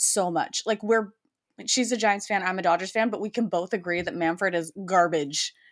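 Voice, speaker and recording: In an unremarkable speaking voice, a woman talks at a fairly quick pace with a medium pitch and lively intonation. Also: very clean recording, silent background. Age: 30s. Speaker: podcast co-host. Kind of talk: casual chat.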